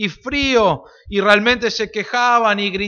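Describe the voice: Someone reads aloud plainly. Fairly even intonation holds throughout.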